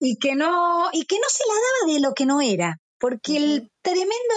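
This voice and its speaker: A woman with a Rioplatense accent speaks at a fairly slow pace, her pitch swinging very widely. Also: dry, close sound with no echo. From Argentina, Buenos Aires suburbs. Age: 50s. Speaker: rock musician. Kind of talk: interview. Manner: talkative.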